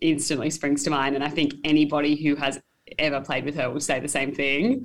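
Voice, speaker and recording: A woman's very deep, low voice with an Australian accent. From mid north coast of New South Wales, Australia. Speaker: touch football player. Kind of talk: casual interview. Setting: hotel room.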